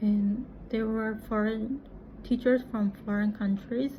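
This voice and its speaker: A woman's fairly high, monotone voice at a very slow pace, flat in intonation, in a Japanese accent. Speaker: English teacher and vlogger. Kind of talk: casual vlog monologue. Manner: halting.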